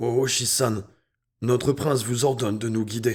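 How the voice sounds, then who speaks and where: Put on as a character voice, a man's raspy delivery sits at a medium pitch with fairly even intonation, in a very clean recording with a silent background. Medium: read story.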